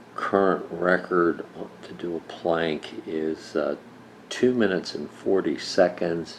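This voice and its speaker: A man's very deep, low voice at a very slow pace, fairly even in intonation but with big swings in loudness, over noticeable background noise. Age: 60s. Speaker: senior fitness enthusiast. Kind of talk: casual talk to camera.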